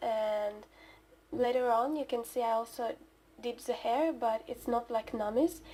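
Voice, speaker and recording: Quiet and dark, mellow in tone, a woman talks in a high pitch with fairly even intonation. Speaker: digital artist. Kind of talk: speedpaint voiceover commentary. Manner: halting.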